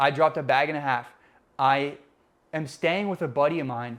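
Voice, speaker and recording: With a Spanish accent, the speech moves at a fairly quick pace with fairly even intonation in a very clean recording against a silent background. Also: man. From Puerto Rican, raised mainly in the US. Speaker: podcast co-host. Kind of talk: casual chat.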